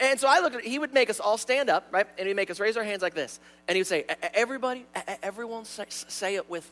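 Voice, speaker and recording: With music in the background, a man with a high pitch rushes at a very fast pace with hardly any pauses, his tone animated and his intonation lively. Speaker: pastor. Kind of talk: sermon. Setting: church.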